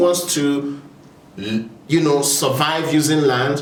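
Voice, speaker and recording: A man with a Nigerian accent at a very slow pace, amid noticeable background noise and audible room echo. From Nigeria (Igbo). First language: Igbo. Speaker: video essayist on land issues. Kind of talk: informal talk to camera. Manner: hesitant, with frequent fillers.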